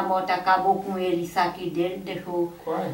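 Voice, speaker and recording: A woman talks at a moderate pace, and noticeable background noise can be heard behind her. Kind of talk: interview answer.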